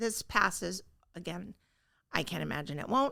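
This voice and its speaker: A woman's voice with vocal fry. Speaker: real estate agent. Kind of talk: market update chat. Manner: casual, filler-heavy; stumbling at times.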